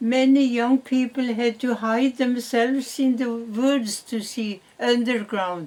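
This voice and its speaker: A woman with a Norwegian accent speaks very slowly at a fairly high pitch, her intonation fairly even. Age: 90s. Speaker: great-grandmother. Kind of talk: interview answer.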